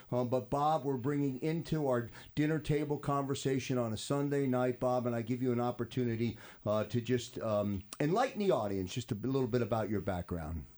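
A man's medium-pitched, plain, everyday voice at a fairly quick pace, with ordinary pitch variation, very even loudness, and a very clean recording with a silent background. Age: 50s. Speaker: radio host. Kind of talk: radio talk show.

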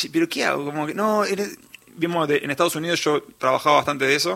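A man's voice, fairly high in pitch, with a bright, sharp tone. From Uruguay, Montevideo. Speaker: singer-songwriter. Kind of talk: radio interview.

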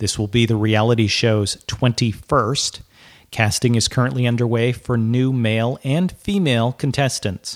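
A man with an ordinary speaking voice, medium pitch, ordinary pitch variation and a moderate pace, on a very clean recording with a silent background. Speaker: podcast host. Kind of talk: news reading. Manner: crisp, brisk, professional broadcaster delivery; even and matter-of-fact, with light wry humor in the intro.

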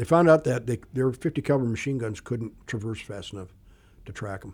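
Over a silent background in a very clean recording, a somewhat breathy man speaks very fast at a medium pitch with lively intonation. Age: 60s. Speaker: retired Air Force pilot. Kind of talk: casual interview, storytelling.

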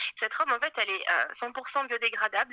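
A woman at a very fast pace, bright and sharp in tone, with ordinary pitch variation and a dry, close sound free of echo. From France, Paris. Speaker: fashion designer. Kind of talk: interview.

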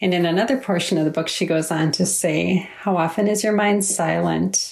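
A woman speaks at a moderate pace with a fairly low pitch and vocal fry. The recording is very clean, with a silent background. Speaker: author's mother. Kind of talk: recorded book review.

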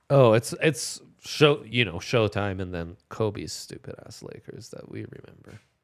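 With lively intonation and big swings in loudness, a man talks at a fairly slow pace in a medium pitch, with hardly any pauses. The recording is very clean, with a silent background. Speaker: sports betting podcast host. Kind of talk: casual chat. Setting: live from a bar. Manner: animated.

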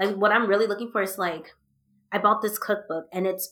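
Speaking at a moderate pace, a woman has an ordinary speaking voice pitched in the medium range. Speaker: podcast host. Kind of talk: casual chat.

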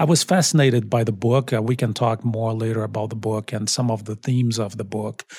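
In a Portuguese accent, a man talks at a medium pitch and a fairly quick pace with hardly any pauses. His voice is somewhat breathy, with fairly even intonation. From Brazil. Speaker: college dean and professor. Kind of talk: interview.

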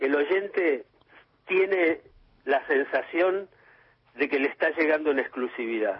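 A man with a fairly high pitch and a plain, everyday voice speaks at a fairly slow pace. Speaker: journalist and author. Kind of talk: radio interview.

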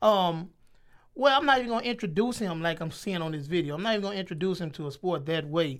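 High-pitched and very fast, a man speaks with lively intonation. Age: 30s. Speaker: teacher and coach. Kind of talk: casual chat.

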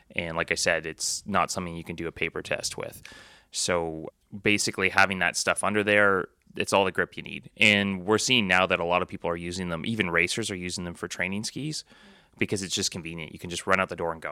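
Very fast and very deep in pitch, a man speaks with fairly even intonation and a bright, sharp tone in a very clean recording with a silent background and a dry, close sound with no echo. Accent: Canadian. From Ontario, Canada. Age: 40s. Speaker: ski and bike shop owner. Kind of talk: casual interview. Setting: in a sports shop.

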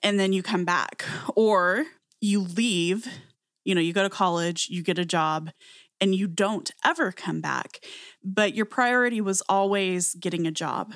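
On a very clean recording with a silent background, a woman with an American accent uses an ordinary speaking voice at a medium pitch, ordinary pitch variation and a fairly slow pace. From very small US town. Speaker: podcast co-host. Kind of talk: casual chat.

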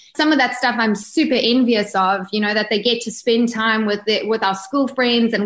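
Here a woman with a South African accent speaks at a fairly high pitch and a moderate pace with hardly any pauses. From South Africa, Durban area (East Coast). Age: 30s. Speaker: yacht crew member and book author. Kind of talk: casual interview chat.

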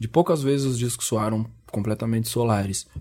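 A man speaks with music playing in the background. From Brazil. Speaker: rapper. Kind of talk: interview.

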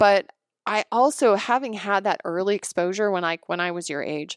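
This woman has a plain, everyday voice at medium pitch, with lively intonation and a moderate pace. The recording is very clean with a silent background and a dry, close sound with no echo. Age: 40s. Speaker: naturopathic doctor and podcast host. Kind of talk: casual interview chat.

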